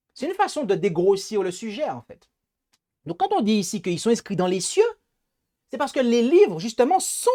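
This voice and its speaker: The speaker talks at a moderate pace in a Martinican accent, leaving long, frequent pauses. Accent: Antillean (Martinican) accent, noticeable. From Martinique. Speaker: preacher, Bible teacher. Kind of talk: Bible study lecture. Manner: hesitant, with repetitions and fillers.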